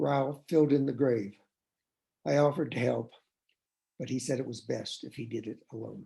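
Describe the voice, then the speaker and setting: This man's voice has a dark, mellow tone, vocal fry, and medium pitch. He leaves long, frequent pauses. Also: ordinary pitch variation, moderate pace. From East Tennessee, Appalachia. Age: 70s. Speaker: novelist. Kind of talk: reading aloud.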